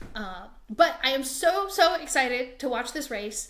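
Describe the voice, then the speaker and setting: With an American accent, a woman with a high pitch talks at a fairly slow pace, her loudness swinging widely over noticeable background noise. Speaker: podcast host. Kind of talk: casual chat.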